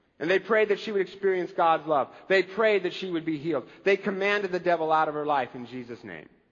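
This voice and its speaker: A very fast-talking man with a high pitch, ordinary pitch variation and big swings in loudness. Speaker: pastor. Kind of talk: sermon.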